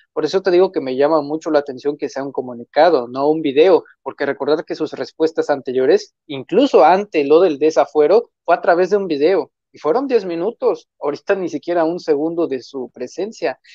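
Against a quiet background, the voice moves at a fairly quick pace with ordinary pitch variation, in a dry sound with no echo. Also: man, hardly any pauses. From Mexico, Tamaulipas. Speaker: political commentator and author; political commentator. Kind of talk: political commentary chat. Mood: critical, skeptical. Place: home room. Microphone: earbuds.

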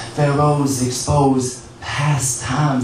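A man speaks with audible room echo. Music plays in the background. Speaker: spoken word poet. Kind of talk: spoken word poetry performance at open mic. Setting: internet cafe open mic. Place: cafe.

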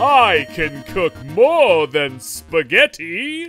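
A put-on character voice at a middle pitch moves at a very slow pace, with faint music in the background. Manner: smooth, flirtatious.

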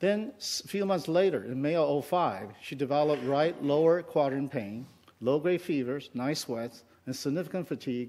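The pace is moderate as a man talks. Ordinary pitch variation runs through his speech. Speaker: conference speaker. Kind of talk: lecture. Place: hall. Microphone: headset.

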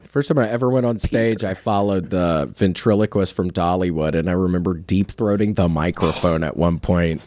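In a dry sound with no echo, a man with a very deep, low pitch speaks at a fairly quick pace with hardly any pauses and ordinary pitch variation. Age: 30s. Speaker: comedian and comedy podcast host; comedian, comedy podcast host. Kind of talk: casual chat. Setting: studio. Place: studio. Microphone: studio mic.

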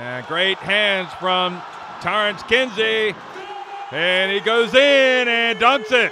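Over noticeable background noise, the speaker goes at a very slow pace with ordinary pitch variation. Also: man, high pitch for a man. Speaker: sports commentator. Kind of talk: live basketball commentary, play-by-play. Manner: animated, brisk play-by-play delivery.

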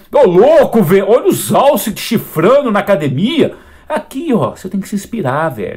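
A man with a high pitch speaks with very wide pitch swings. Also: moderate pace. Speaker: fitness youtuber. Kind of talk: video reaction commentary. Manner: animated; loud.

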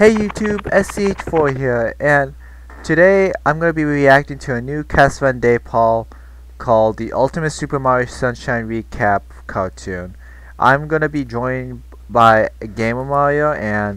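A man talks at a moderate pace in a dry sound with no echo. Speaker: reaction channel host. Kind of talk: casual reaction video intro. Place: home room. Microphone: headset.

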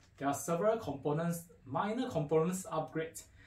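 At a moderate pace, a man speaks in a somewhat breathy voice with ordinary pitch variation and audible room echo. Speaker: audio equipment dealer presenter. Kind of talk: product unboxing talk to camera. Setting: faulty microphone. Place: studio.

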